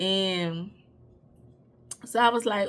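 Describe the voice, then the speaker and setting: Here is a woman with a New Orleans accent. Her tone is animated and her intonation lively. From New Orleans, Louisiana. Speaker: YouTuber. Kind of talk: personal storytelling.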